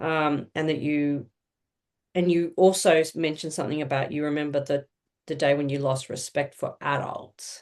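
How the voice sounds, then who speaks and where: A woman with an Australian accent speaks at a moderate pace in a very deep, low voice with monotone, flat intonation. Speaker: social worker. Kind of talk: interview. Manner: halting.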